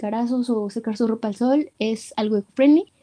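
A woman's high-pitched voice, dark and mellow in tone, comes at a moderate pace with a dry, close sound and no echo. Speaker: podcast host. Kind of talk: casual chat.

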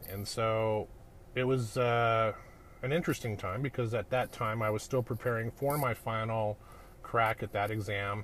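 A man with a Canadian accent and an ordinary speaking voice, medium pitch, fairly even intonation, and a moderate pace. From Canada (Edmonton, Alberta). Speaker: podcast host, business coach. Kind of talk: solo monologue, personal story. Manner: casual with many fillers.

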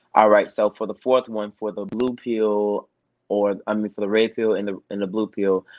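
A man's voice at medium pitch. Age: 20s. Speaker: podcast host. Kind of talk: casual chat. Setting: not in the studio.

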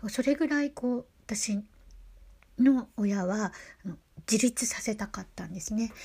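A woman with a dark, mellow, somewhat breathy tone and fairly high pitch talks at a fairly slow pace, with big swings in loudness and long, frequent pauses. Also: ordinary pitch variation. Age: 50s. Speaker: podcaster. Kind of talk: religious monologue. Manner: halting.

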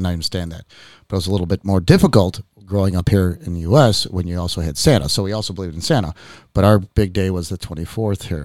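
A man's very deep, low voice at a very fast pace, with ordinary pitch variation and a dry, close sound with no echo in a very clean recording with a silent background. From Chicago, US. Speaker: podcast host. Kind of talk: casual chat. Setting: studio.

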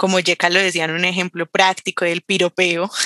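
The woman's voice has a bright, sharp tone. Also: dry, close sound with no echo. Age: 20s. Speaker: political scientist. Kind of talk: casual conversation.

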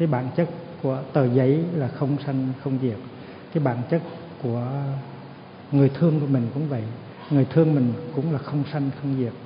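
Against noticeable background noise and audible room echo, a man speaks at a moderate pace. His voice is fairly high, with fairly even intonation. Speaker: Buddhist monk giving a dharma talk. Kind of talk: dharma talk. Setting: temple ceremony with audience.

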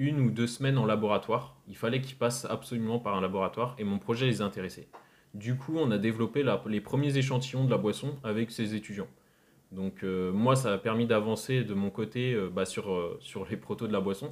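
A man talks with an unremarkable speaking voice at a medium pitch. His pitch variation is ordinary. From France, Rennes (Brittany). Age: 20s. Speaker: entrepreneur, drink brand founder. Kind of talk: podcast interview.

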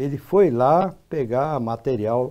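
This man speaks at a medium pitch with ordinary pitch variation and a dark, mellow tone. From Brazil, São Paulo state. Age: 80s+. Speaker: agronomist. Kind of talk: interview.

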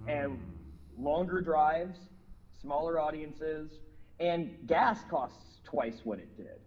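A man with an American accent, fairly high in pitch, at a very slow pace, with big swings in loudness, long, frequent pauses and audible room echo. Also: ordinary pitch variation. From Minneapolis, US Midwest. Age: 40s. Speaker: rock musician. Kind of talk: interview.

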